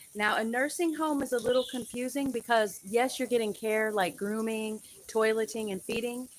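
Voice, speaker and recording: Using a plain, everyday voice, a woman with an American accent speaks at a moderate pace, her fairly high pitch carrying ordinary variation. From United States. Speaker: registered nurse. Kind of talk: educational live stream talk to camera. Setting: live stream over poor connection. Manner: casual, conversational.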